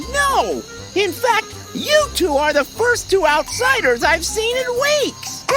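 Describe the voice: A cartoonish character voice with an extremely high pitch moves at a fairly slow pace. Music plays clearly in the background.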